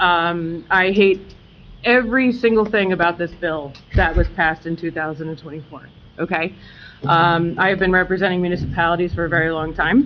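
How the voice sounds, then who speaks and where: Over music in the background, a woman with a fairly low pitch talks at a fairly quick pace. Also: ordinary pitch variation. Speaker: attorney. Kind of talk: public meeting explanation. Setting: township committee meeting with audience. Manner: loud.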